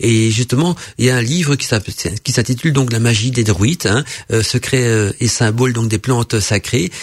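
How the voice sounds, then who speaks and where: A man with a Belgian accent speaks at a medium pitch with ordinary pitch variation. His voice is somewhat breathy, with very even loudness at a moderate pace. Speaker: radio host. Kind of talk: casual chat.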